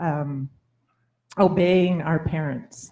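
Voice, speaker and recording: A woman speaks with a Labrador accent in a somewhat breathy voice. She goes at a very slow pace with ordinary pitch variation. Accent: Labrador Canadian English. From Labrador, Canada. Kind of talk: panel talk. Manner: halting.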